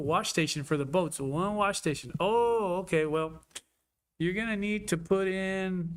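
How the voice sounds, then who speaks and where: A man speaks in an animated tone at a high pitch. Room echo can be heard. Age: 60s. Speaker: city commissioner. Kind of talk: public meeting discussion. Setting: city hall commission chambers.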